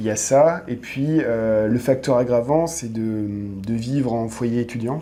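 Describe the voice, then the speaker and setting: Speaking very slowly, a man keeps a medium pitch and a fairly even intonation. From France. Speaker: expat, dating agency owner. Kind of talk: podcast interview. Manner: hesitant, many fillers.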